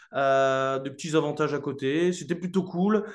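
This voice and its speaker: A man's ordinary pitch variation comes at a moderate pace. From northern France, Lille. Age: 20s. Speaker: real estate investor. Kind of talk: interview. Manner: casual, many hesitations.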